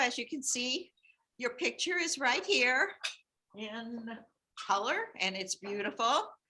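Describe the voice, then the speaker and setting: A woman's high, bright, sharp voice at a fairly slow pace, with long, frequent pauses. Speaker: former teacher and nurse giving a tribute. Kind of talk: tribute speech at a meeting. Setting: meeting room with audience, also on computer call. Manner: loud.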